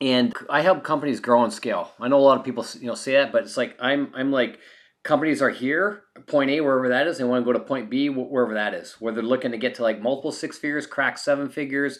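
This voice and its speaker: A man with a Canadian accent and a fairly high pitch, talking at a very fast pace. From Canada. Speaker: marketing consultant, former engineer. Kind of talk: interview.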